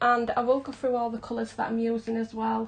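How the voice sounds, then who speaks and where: A high-pitched woman's voice with a Yorkshire accent. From South Yorkshire, England. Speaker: hobby colouring artist. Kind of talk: live stream tutorial. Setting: live stream. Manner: casual, chatty.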